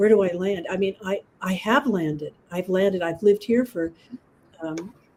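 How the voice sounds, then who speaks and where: A woman at a medium pitch and moderate pace, with ordinary pitch variation and noticeable background noise. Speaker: group discussion participant. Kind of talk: casual chat.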